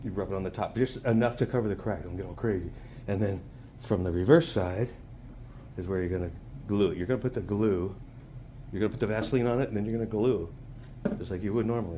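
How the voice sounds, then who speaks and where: Soft-spoken, a man with a dark, mellow tone and fairly low pitch talks very fast with ordinary pitch variation and long, frequent pauses. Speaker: RC hobby YouTuber. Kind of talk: casual hobby tutorial vlog.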